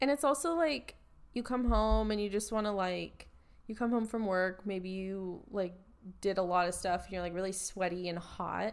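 A woman with a normal speaking voice talks at a moderate pace and medium pitch, her pitch varying in an ordinary way, on a very clean recording with a silent background. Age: 20s. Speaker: podcast co-host. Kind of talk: casual chat.

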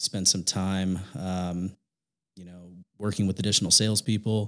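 On a very clean recording with a silent background, a man with a very deep, low pitch speaks at a fairly quick pace in a monotone, flat intonation. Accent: Midwestern American. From Indiana. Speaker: digital marketing company manager. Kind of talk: interview.

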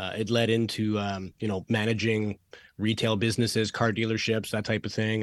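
In a Canadian accent, a man speaks at a fairly quick pace and fairly low pitch on a very clean recording with a silent background. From Canada. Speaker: podcast host. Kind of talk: casual interview chat. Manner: fast talker.

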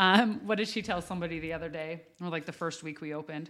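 In a plain, everyday voice, a woman talks at a fairly quick pace with fairly low pitch and ordinary pitch variation, on a very clean recording with a silent background. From US West (Wyoming). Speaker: coffee house owner and life coach. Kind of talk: casual chat.

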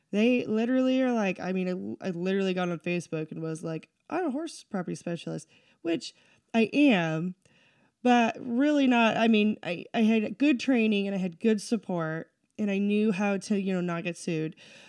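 A woman's normal speaking voice with an American accent, medium in pitch, lively in intonation, at a moderate pace, on a very clean recording with a silent background. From southeastern Washington State. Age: 30s. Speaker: real estate agent. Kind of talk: casual chat.

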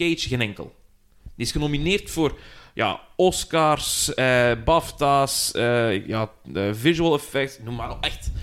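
The man talks very slowly. Pitch shifts in his speech are typical. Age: 30s. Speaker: podcast host. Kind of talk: casual chat.

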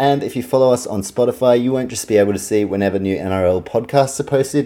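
On a very clean recording with a silent background, a man with a New Zealand accent speaks fairly quickly in a dark, mellow tone with lively intonation. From New Zealand, Auckland. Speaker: sports podcaster. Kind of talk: solo sports podcast monologue. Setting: home recording, fan turned off.

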